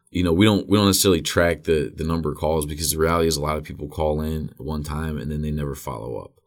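A man with a very deep, low pitch talks in a Midwestern American accent at a very fast pace. He uses hardly any pauses and fairly even intonation. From Northeast Ohio (Wadsworth, near Akron). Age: 30s. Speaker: recovering addict, recovery helpline organizer. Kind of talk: interview.

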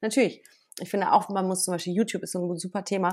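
The recording is very clean, its background silent. A woman talks with a fairly low pitch. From western Germany, Bergisches Land (Wermelskirchen). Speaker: journalist and TV presenter. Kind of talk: casual interview. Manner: hesitant, many fillers.

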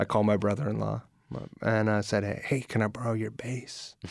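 An ordinary speaking voice, with an American accent, moves at a fairly quick pace with fairly even intonation. The recording is very clean, with a silent background. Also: man. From California. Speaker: musician. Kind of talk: casual chat. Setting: studio.

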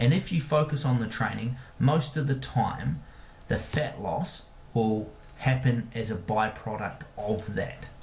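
Speaking with an Australian accent, a man keeps a medium pitch with ordinary pitch variation. His pace is fairly slow. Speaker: podcast host and performance coach. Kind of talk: podcast monologue and Q&A answers. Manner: friendly, conversational.

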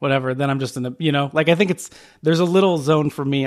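A man speaks in a normal speaking voice with an American accent. His pitch varies in an ordinary way. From Phoenix, Arizona. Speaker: podcast co-host. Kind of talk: casual chat.

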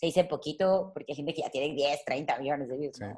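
Very deep, low pitch from a woman, her intonation fairly even. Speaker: content creator and musician. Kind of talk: interview conversation.

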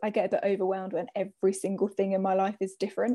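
A woman with a southern English accent and a dark, mellow tone, talking at a very fast pace. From southern England, Hertfordshire (Hitchin). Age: 20s. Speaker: social work student. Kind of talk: casual interview.

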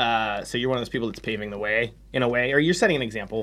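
The recording is very clean and the background silent. In it, a man talks with an American accent. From US, Pittsburgh. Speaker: podcast host and musician. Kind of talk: casual chat. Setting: rehearsal space.

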